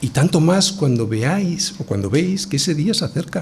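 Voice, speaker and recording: With audible room echo, a man talks at a moderate pace, his pitch swinging very widely. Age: 60s. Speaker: pastor. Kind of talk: sermon.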